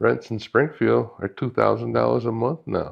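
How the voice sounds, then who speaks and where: A man with vocal fry and lively intonation at a moderate pace. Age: 70s. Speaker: real estate investor. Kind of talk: interview. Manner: halting.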